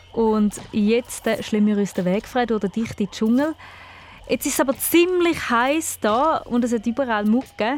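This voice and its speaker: Speaking fairly slowly in a Thurgau accent, a woman with a fairly high voice sounds animated. Her intonation is lively. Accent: Thurgau Swiss German dialect. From Switzerland, canton Thurgau. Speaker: children's radio host. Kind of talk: children's radio quiz show.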